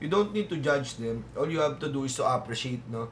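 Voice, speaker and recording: A man speaks at a fairly high pitch, with audible room echo. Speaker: music reaction youtuber. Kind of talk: reaction commentary. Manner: halting, many fillers.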